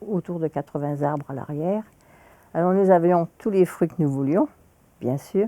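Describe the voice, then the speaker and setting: A woman's dark, mellow tone at a fairly low pitch, in a dry, close sound with no echo. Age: 80s+. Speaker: senior sharing life story. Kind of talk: personal storytelling interview.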